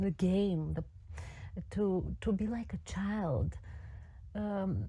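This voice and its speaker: A woman with a non-native accent, speaking at a very slow pace. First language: not English. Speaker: voice teacher. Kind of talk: group discussion. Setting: audio chat room. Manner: halting.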